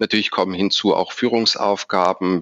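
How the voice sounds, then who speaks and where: At a moderate pace and with fairly even intonation, a man with a very deep, low pitch and a bright, sharp tone comes through in a dry, close sound with no echo. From Stuttgart, Swabia, southern Germany. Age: 40s. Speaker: bank executive. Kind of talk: interview.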